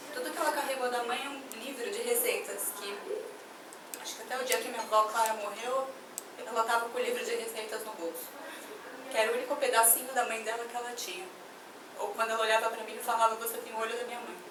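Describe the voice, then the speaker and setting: A woman with fairly high pitch and fairly even intonation at a very fast pace, with long, frequent pauses, big swings in loudness, audible room echo and noticeable background noise. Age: young. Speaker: activist. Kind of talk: testimony at a public meeting.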